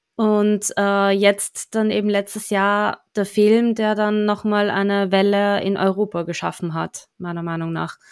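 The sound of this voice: On a very clean recording with a silent background, a woman speaks with a clear, smooth tone, little pitch movement and few pauses. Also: medium pitch for a woman, fairly slow pace.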